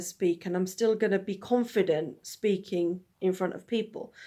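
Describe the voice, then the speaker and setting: This is a very clean recording with a silent background. A woman speaks at a moderate pace. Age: 30s. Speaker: vlogger and festival host. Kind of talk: personal video monologue. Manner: rambling, halting with restarts.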